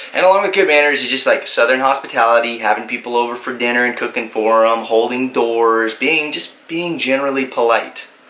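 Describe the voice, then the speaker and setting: Fairly quick speech from a man with an American accent, with hardly any pauses, amid noticeable background noise. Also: medium pitch for a man, ordinary pitch variation. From Texas. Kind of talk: casual talk to camera.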